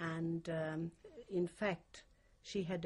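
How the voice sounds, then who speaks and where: Very slow and somewhat breathy, a woman with a Hungarian accent speaks at a very deep, low pitch. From Hungary. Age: 60s. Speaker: Holocaust survivor. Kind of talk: oral history interview. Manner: halting.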